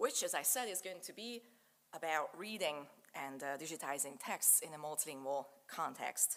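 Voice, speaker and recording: With a Hungarian accent, a woman speaks at a moderate pace in a very deep, low pitch with lively intonation. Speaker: digital humanities researcher. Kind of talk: lecture.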